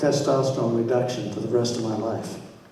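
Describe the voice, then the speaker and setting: A man at medium pitch is heard with audible room echo and noticeable background noise. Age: 70s. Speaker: support group moderator and prostate cancer patient. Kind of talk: moderating audience Q&A.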